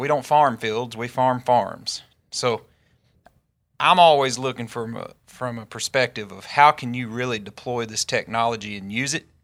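With a Southern US accent, a man of medium pitch speaks at a moderate pace with fairly even intonation and big swings in loudness on a very clean recording with a silent background. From Northeast Arkansas. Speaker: farmer and agtech co-founder. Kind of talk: podcast interview.

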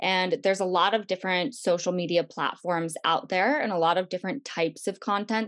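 With an ordinary speaking voice, a woman of medium pitch talks at a fairly quick pace. She shows ordinary pitch variation and hardly any pauses. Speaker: webinar host. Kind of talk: live webinar interview. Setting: video call webinar.

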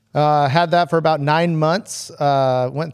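A man's normal speaking voice in an American accent, with ordinary pitch variation, on a very clean recording with a silent background. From San Diego, California. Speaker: hot rod fabricator. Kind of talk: casual chat.

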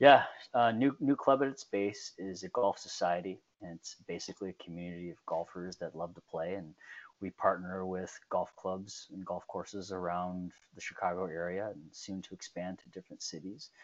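A man with an American accent speaks at a moderate pace in a very deep, low voice, with ordinary pitch variation and big swings in loudness. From US Midwest, southeast Michigan (Detroit suburbs). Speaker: golf society co-founder. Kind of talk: interview. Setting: video call. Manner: hesitant, many fillers.

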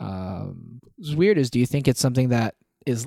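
A man at a medium pitch, dark and mellow in tone, fairly quick, with ordinary pitch variation and a dry, close sound with no echo. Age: 20s. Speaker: podcast co-host. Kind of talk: casual chat.

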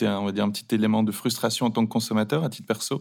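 On a very clean recording with a silent background, a man speaks at a very fast pace with a fairly low pitch and fairly even intonation. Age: 30s. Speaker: e-commerce founder. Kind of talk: interview. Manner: hesitant, with fillers.

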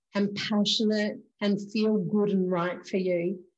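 A woman with an Australian accent speaks at a very slow pace and medium pitch. Her tone is dark, mellow and somewhat breathy, her intonation monotone and flat. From Queensland, Australia. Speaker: spiritual medium podcast host. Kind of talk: casual interview chat.

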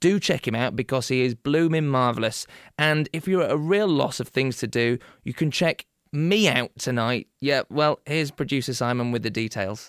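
With a Yorkshire accent, a man talks at a medium pitch and moderate pace with ordinary pitch variation, in a very clean, dry, close recording with a silent background and no echo. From Yorkshire, England (Beverley). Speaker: podcast host. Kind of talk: casual chat. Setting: studio. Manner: animated.

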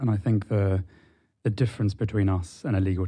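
A man speaks at a moderate pace with a fairly low pitch and a dark, mellow tone. His delivery is somewhat breathy, with fairly even intonation. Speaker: legal engineering firm representative. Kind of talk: casual interview.

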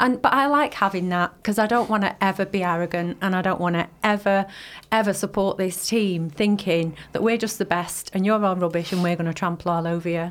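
A woman with an ordinary speaking voice talks at a medium pitch. Her pace is fairly quick and her intonation fairly even. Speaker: football fan panelist. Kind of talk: casual chat.

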